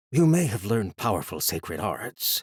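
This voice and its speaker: A man's growling, put-on character voice at medium pitch, with very wide pitch swings, a moderate pace and a dry, close sound with no echo. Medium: read story.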